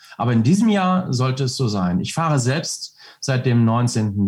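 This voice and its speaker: The voice is somewhat breathy, with lively intonation. The pace is fairly slow. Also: man. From North Rhine-Westphalia, Germany. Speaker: reservist soldier, entrepreneur, motorcyclist. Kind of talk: interview. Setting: video call.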